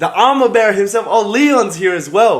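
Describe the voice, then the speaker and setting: Here a man speaks in a high pitch. Noticeable background noise is present. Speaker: martial arts fighter and livestreamer. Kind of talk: casual live stream chat. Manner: casual, filler-heavy.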